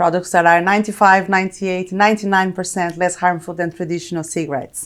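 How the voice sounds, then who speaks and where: A woman with a Brazilian accent talks at a very fast pace. The recording is very clean, with a silent background. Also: medium pitch for a woman. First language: Portuguese. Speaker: corporate technology executive. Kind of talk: interview.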